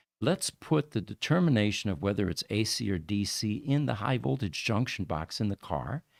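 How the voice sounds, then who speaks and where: Vocal fry and very wide pitch swings in a very clean recording, silent in the background, with a dry, close sound and no echo. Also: man. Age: 70s. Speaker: EV show host. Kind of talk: live stream chat. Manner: halting.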